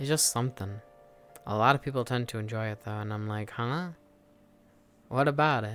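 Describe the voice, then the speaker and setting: Over music in the background, a man with a medium-pitched voice speaks at a fairly quick pace with ordinary pitch variation and long, frequent pauses. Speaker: VR streamer. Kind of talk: casual chat. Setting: live stream in VR.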